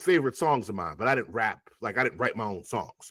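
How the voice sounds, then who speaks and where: Talking very fast with vocal fry and very wide pitch swings, a man is heard in a dry, close sound with no echo. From Long Island, New York (West Indian household). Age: 40s. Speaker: rapper. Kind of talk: interview conversation. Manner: animated.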